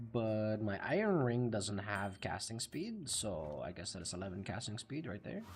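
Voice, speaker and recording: Lively intonation from a man at a moderate pace, hardly any pauses, noticeable background noise behind him. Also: fairly low pitch for a man. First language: Dutch. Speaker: video game streamer. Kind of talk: live gameplay commentary. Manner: rolls his R's; animated.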